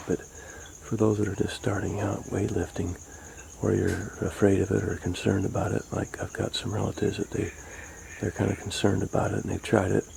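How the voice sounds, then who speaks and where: Over noticeable background noise, a man talks at a fairly quick pace. His fairly low voice holds a monotone, flat intonation. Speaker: home fitness vlogger. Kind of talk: casual talk to camera. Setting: outdoors. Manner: whispered.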